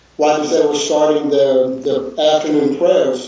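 A man speaks at a fairly high pitch amid noticeable background noise, with audible room echo. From Texas, Houston. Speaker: missionary. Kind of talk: video call interview.

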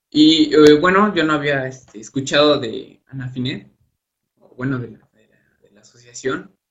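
Here a man talks at a fairly slow pace with a fairly high pitch and ordinary pitch variation. His voice is somewhat breathy, with big swings in loudness. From Mexico, Hidalgo. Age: 20s. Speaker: university student. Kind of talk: interview. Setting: online live broadcast.

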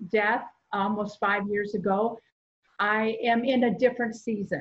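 Somewhat breathy and fairly high-pitched, a woman talks at a very slow pace with fairly even intonation. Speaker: church ministry volunteer. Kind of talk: testimony. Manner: halting.

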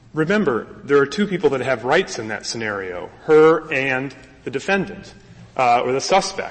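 The pitch swings very widely at a moderate pace. Noticeable background noise sits behind the voice. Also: man, fairly high pitch for a man. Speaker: lawyer arguing before a court. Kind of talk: oral argument. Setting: courtroom.

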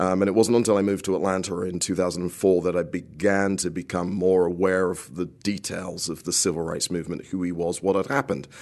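Very fast and with hardly any pauses, a man with a British accent talks at a very deep, low pitch and fairly even intonation. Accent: British accent, noticeable. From United Kingdom. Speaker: composer. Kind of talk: radio interview. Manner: halting, many repetitions and fillers.

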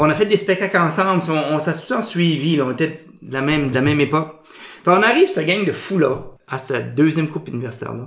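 A man with an Acadian accent at a fairly quick pace, with ordinary pitch variation and noticeable background noise. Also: fairly high pitch for a man. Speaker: improviser. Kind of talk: casual interview.

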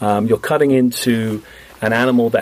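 A man with a British accent. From Britain (England). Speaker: marine biologist. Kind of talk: radio interview. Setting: radio studio.

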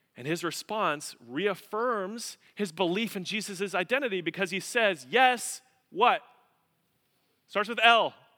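Projecting a raised voice, a man talks at a fairly slow pace with an animated tone and big swings in loudness. His pitch is high with ordinary variation, and his tone is bright and sharp. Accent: American. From Colorado, US. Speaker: pastor. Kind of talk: sermon.

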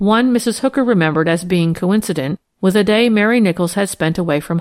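Someone reads aloud plainly while the background stays quiet.

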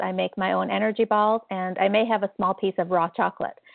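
A woman in a plain, everyday voice, medium in pitch and fairly quick in pace. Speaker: support coach. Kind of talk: live coaching Q&A call. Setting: phone call.

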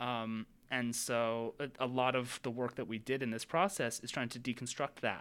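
An ordinary speaking voice from a man, medium in pitch, at a moderate pace, with fairly even intonation on a very clean recording over a silent background. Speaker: theater and journalism student. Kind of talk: casual chat.

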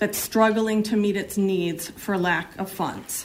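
A woman speaks at a fairly slow pace in an unremarkable speaking voice. Her medium pitch carries fairly even intonation. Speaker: citizen testifying at hearing. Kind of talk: public testimony. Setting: legislative hearing room.

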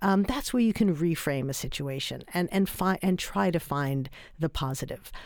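Heard in a very clean recording against a silent background, a woman with an American accent speaks at a moderate pace with very wide pitch swings. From New York. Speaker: author. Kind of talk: radio interview. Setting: studio.

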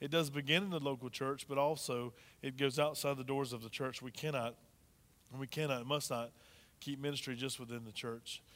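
A man with a medium pitch and an unremarkable speaking voice speaks at a fairly quick pace with fairly even intonation, in a very clean recording with a silent background. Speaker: pastor. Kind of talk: sermon. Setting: church.

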